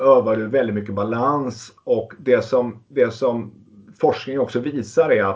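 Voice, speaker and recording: A man talks in a normal speaking voice at medium pitch. His pace is fairly slow. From Småland, Sweden (Västervik). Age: 50s. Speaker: entrepreneur and amateur cyclist. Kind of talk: interview.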